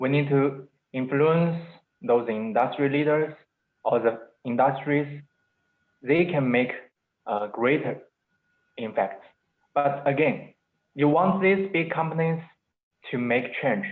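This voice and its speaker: With a non-native accent, a man speaks at a fairly slow pace in a fairly high pitch, his loudness very even and his speech broken by long, frequent pauses. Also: ordinary pitch variation. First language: Chinese. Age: 20s. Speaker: entrepreneur. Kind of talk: webinar interview. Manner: halting.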